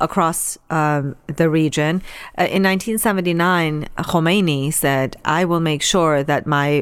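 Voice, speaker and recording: A woman speaks at a very deep, low pitch with ordinary pitch variation. The recording is very clean, with a silent background. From Iran. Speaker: charity director for refugee relief. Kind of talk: interview. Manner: hesitant with frequent fillers.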